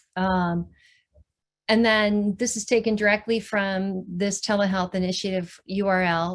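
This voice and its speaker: Against a quiet background, a woman talks at a medium pitch with fairly even intonation and a fairly slow pace. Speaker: billing and telehealth trainer. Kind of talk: webinar presentation.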